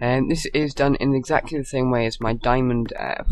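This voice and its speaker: Over noticeable background noise, a man talks at a medium pitch and a fairly slow pace. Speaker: game tutorial narrator. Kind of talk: tutorial voice-over.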